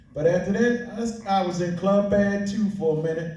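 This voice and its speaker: Amid noticeable background noise and audible room echo, a man talks at a moderate pace and a high pitch. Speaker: graffiti writer. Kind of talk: panel discussion.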